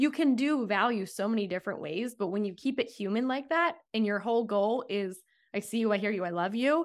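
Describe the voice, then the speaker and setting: Recorded very cleanly against a silent background, an unremarkable speaking voice moves at a fairly quick pace with ordinary pitch variation. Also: woman. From US East Coast. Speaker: sales coach. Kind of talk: interview conversation.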